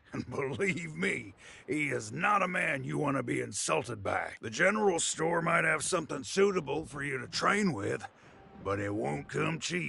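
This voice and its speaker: A man puts on a raspy character voice, pitched fairly high for a man and delivered at a moderate pace. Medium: video game. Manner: chatty, knowing.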